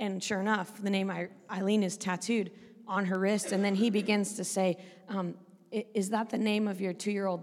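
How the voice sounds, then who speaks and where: A woman with a West Coast accent, moderate pace, monotone, flat intonation. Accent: American West Coast. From Oregon, US West Coast. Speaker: preacher, church leader. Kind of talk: interview, storytelling. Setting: church.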